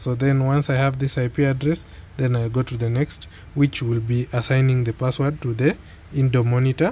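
A man speaks at a medium pitch and a moderate pace. His tone is dark and mellow, with fairly even intonation.

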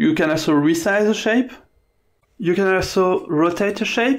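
The man speaks with ordinary pitch variation. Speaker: software tutorial presenter. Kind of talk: screen-recorded software tutorial narration. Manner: unpolished, inexperienced speaker.

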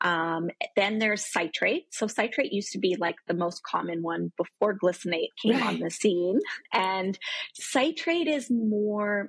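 Speaking at a fairly slow pace, a woman sounds somewhat breathy, with lively intonation, a dry sound with no echo, and a quiet background. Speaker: remote guest. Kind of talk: interview answer. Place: home room. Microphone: video call.

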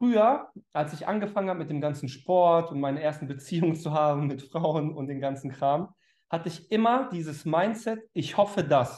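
A man's intonation is lively, and his pace is moderate. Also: quiet background. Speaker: online speaker or coach. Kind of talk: motivational talk to viewers. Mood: warm, upbeat, sincere. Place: home room. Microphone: headset.

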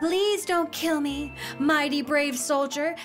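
Someone talks in a put-on character voice at a fairly slow pace. Clear music plays in the background. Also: woman, high pitch for a woman. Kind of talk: fairy-tale, storybook. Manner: pleading, fearful.

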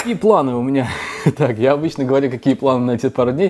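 A male voice with ordinary pitch variation. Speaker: food vlogger. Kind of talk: casual vlog chat. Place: kitchen. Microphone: camera far.

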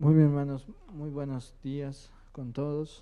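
A man's fairly high voice at a fairly slow pace, with little pitch movement

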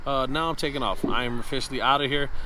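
Very fast pace over music in the background, in a dry sound with no echo. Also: man. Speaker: comedian vlogger. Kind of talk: casual vlog chat. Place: street.

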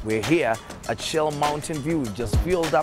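A man's voice, dry and free of echo, comes through with clear music behind it. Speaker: radio host leading the tour. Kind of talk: energetic presenter intro. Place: station.

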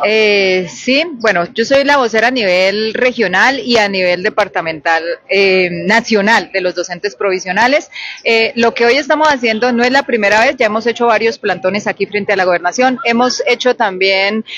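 A woman speaks at a moderate pace with ordinary pitch variation and very even loudness. The sound is dry with no echo. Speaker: spokesperson for provisional teachers. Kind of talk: interview answer. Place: street. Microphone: handheld.

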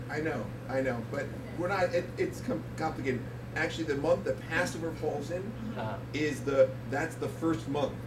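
A man talks with long, frequent pauses while noticeable background noise continues. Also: moderate pace. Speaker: guest. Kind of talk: comedic talk-show interview answer. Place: bar.

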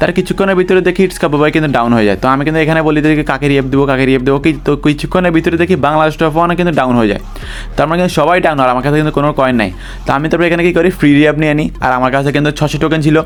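There is noticeable background noise. A man talks at a fairly high pitch with ordinary pitch variation. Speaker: gaming YouTuber. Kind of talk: gameplay commentary narration.

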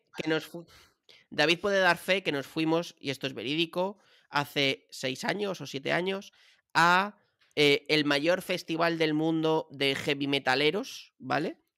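Against a quiet background, a man with a fairly high pitch and a bright, sharp tone speaks at a fairly slow pace with ordinary pitch variation. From Madrid, Spain; Spain. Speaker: podcast co-host. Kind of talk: casual chat. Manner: animated. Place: home room. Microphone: studio mic.

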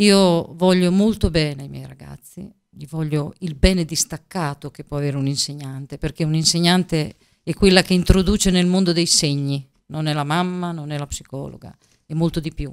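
A woman talks at a moderate pace in a very deep, low pitch with fairly even intonation. Her loudness swings a lot against a quiet background. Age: 50s. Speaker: teacher and regional election candidate; teacher, election candidate. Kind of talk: political interview. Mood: earnest, persuasive. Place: studio. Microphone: studio mic.

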